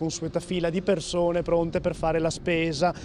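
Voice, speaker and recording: Speaking at a fairly slow pace, a man with a high pitch comes through a dry recording with no echo and noticeable background noise. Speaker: field reporter. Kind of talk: live field report. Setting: outdoors. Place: street. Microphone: handheld.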